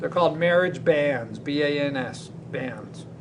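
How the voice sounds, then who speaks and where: Through noticeable background noise, a man's fairly high-pitched voice comes across with fairly even intonation. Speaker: teacher. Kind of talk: lecture.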